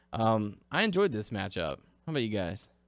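A man's plain, everyday voice, fairly low in pitch and fairly quick in pace, on a very clean recording with a silent background. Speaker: wrestling podcast host. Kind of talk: casual chat.

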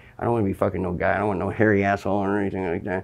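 Against a quiet background, a man with an American accent talks in a fairly low pitch. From Southern California. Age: 50s. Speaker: recovering-from-nothing meth addict interviewee. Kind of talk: interview.

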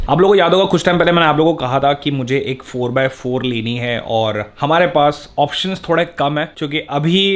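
A man at a moderate pace with hardly any pauses and ordinary pitch variation. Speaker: vlogger. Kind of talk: casual vlog chat. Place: home room. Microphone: phone near.

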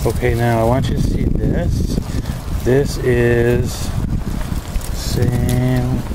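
A very slow pace with long, frequent pauses, over loud background noise. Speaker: gardener filming berries. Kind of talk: casual talk to camera. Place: garden. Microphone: phone near.

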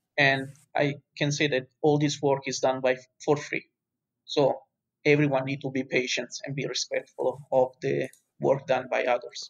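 A man speaks in a flat, monotone way. He leaves long, frequent pauses. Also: fairly high pitch for a man, moderate pace. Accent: Italian. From Italy. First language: Italian. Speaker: university lecturer and fire researcher. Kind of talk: interview.

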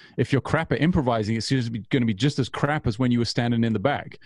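A man is heard over a quiet background. His voice sounds dry, with no echo. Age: 40s. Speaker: bass player; interviewee. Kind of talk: interview. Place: home room. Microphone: studio mic.

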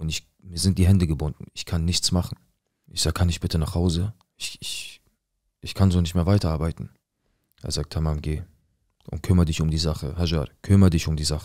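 A man with a very deep, low pitch and a dark, mellow tone talks in a flat monotone at a fairly quick pace, with long, frequent pauses. The sound is dry with no echo, against a quiet background. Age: 20s. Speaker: viewer telling his life story; storyteller. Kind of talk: personal testimony. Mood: serious, tense, emotional. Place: studio. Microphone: studio mic.

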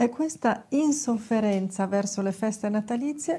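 Somewhat breathy and dark, mellow in tone, a woman speaks fairly slowly with lively intonation. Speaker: lifestyle vlogger. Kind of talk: advice talk to camera. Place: studio. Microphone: lapel.

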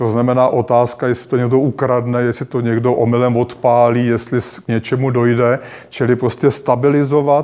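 A man's dark, mellow tone in a flat monotone, moderate pace and hardly any pauses, over a quiet background. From Czech Republic. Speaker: history professor. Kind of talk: lecture. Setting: stage with audience. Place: hall.

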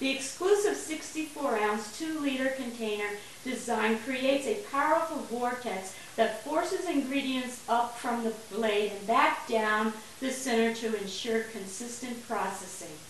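Fairly slow pace, audible room echo and light background noise. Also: woman, high pitch for a woman. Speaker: home cook demonstrating a blender. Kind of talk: tutorial. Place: kitchen. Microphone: camera far.

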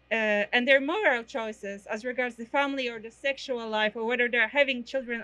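A fairly high-pitched woman at a moderate pace, her intonation fairly even. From Poland. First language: Polish. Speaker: protest organizer; speaker. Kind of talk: protest speech. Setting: outdoor rally. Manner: halting. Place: street.

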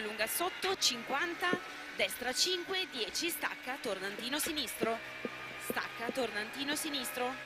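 Loud background noise fills a dry sound with no echo. The speech moves at a very slow pace. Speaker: rally co-driver. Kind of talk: rally co-driver pace notes. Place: car. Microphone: headset.

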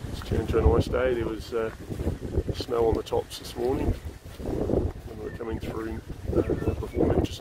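A man at a moderate pace, dry with no echo, over loud background noise. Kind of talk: casual vlog chat. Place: waterside. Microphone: phone near.

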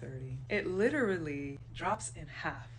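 A woman's fairly slow delivery over light background noise. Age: 30s. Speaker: content creator. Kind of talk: angry rant. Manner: fiery, defiant. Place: home room. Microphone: phone near.

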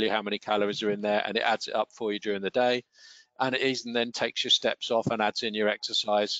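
Very fast delivery in a monotone, flat intonation, with dry sound and no echo. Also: man, quiet background. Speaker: wellbeing trainer. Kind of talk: online training webinar. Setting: online webinar. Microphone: headset.

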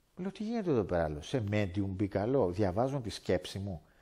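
A man with a dark, mellow tone and very wide pitch swings at a moderate pace, over a quiet background. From Greece, Athens area (Lavrio); Greece. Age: 50s. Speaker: former martial arts teacher. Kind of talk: testimony. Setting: indoors by a fireplace. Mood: earnest, animated storytelling. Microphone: headset.

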